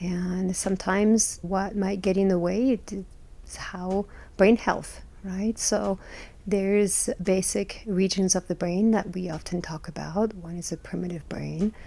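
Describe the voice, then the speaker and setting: A woman at medium pitch, dark and mellow, monotone and flat, at a fairly slow pace. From France. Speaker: licensed clinical social worker. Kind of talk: podcast interview, explaining.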